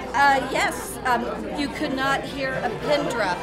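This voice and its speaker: Behind a woman's voice, clear music can be heard in the background. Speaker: theatre board member hosting. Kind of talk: interview questions, casual chat. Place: hall.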